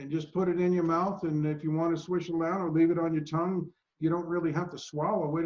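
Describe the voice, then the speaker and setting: A man's high-pitched voice at a fairly quick pace, flat and monotone throughout. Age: 60s. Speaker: supplement maker. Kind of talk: product interview.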